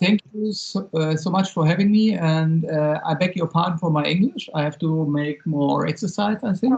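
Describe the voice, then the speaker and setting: Someone with a German accent talks with hardly any pauses. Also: moderate pace. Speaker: sports performance coach. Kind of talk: video call presentation. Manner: halting.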